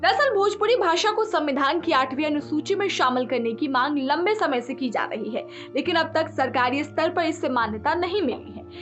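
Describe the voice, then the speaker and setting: A woman talks at a moderate pace with hardly any pauses, her pitch high and her intonation lively. Music plays in the background. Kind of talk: news narration voiceover.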